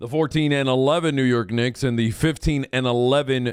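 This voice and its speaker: A man's plain, everyday voice at medium pitch, on a very clean recording with a silent background. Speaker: radio sports host. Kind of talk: radio dj patter: upbeat station promos, weather and sports rundowns. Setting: studio.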